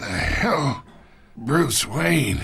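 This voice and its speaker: A raspy, put-on character voice from a man, medium in pitch, with very wide pitch swings. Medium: cartoon. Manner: sly, condescending.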